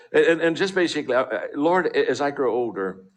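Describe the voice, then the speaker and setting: Talking at a very fast pace, a man uses a fairly high pitch with vocal fry. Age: 60s. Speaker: motivational speaker. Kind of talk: motivational talk. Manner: halting.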